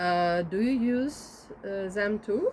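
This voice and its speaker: A woman speaks with a Ukrainian accent at a medium pitch. Her intonation is lively. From Ukraine. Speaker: interviewer and video maker. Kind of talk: interview questions. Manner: halting.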